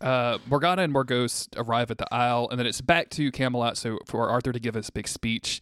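With an American accent and an ordinary speaking voice, a man talks at a fairly quick pace and medium pitch, with fairly even intonation, hardly any pauses, and a dry, close sound with no echo. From USA. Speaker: podcast host. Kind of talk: casual chat.

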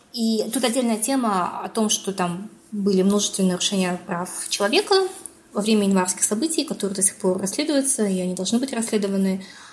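A woman talks at a fairly quick pace, her pitch medium with ordinary variation. Noticeable background noise runs underneath. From Kazakhstan. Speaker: political science researcher and assistant professor. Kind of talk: interview.

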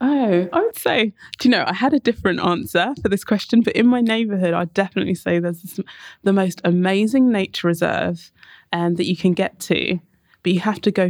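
A woman with a London accent talks at a fairly quick pace with ordinary pitch variation, in a dry, close sound with no echo. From North London, England. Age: 30s. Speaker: architect and urban designer. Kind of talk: casual interview conversation.

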